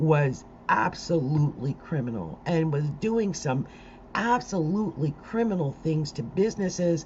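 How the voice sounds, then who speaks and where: An animated woman with an American accent speaks with very wide pitch swings. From South Jersey, Delaware Valley. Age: 60s. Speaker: astrologer. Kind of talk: live stream commentary.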